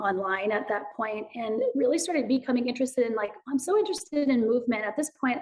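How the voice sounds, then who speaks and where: A high-pitched woman speaks loudly at a fairly quick pace. Her intonation is lively. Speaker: movement educator and author. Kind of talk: podcast interview. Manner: animated.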